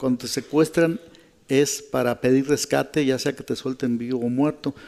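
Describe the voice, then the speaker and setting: His intonation monotone and flat, a man speaks in a dark, mellow tone. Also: medium pitch for a man, moderate pace. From Mexico, Michoacán. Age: 60s. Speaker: journalist and fixer. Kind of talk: radio interview testimony. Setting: live radio programme before an audience.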